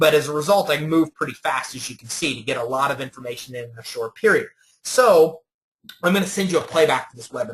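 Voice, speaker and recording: Talking at a very fast pace, a man with an American accent uses a fairly high, somewhat breathy voice, lively intonation and big swings in loudness. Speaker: business credit webinar presenter. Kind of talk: webinar presentation.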